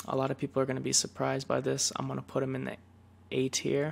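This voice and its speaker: A man talks in a relaxed tone and is soft-spoken. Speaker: League of Legends player and ASMR content creator. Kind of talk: gaming tier list commentary, casual talk to camera. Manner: soft-spoken, relaxed.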